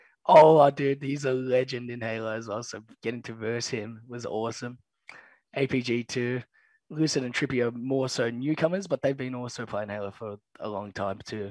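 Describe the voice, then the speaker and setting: Moderate pace, fairly even intonation and big swings in loudness. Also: man, medium pitch for a man. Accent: Australian. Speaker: pro esports player. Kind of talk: casual chat. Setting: video call.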